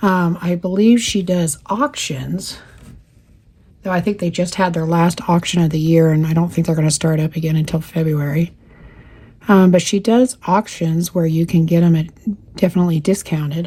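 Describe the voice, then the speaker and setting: A woman with an American accent talks quietly at a moderate pace, somewhat breathy. Her voice is fairly low, dark and mellow, with fairly even intonation. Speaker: cross stitch youtuber. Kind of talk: casual chat while crafting. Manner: talking quietly.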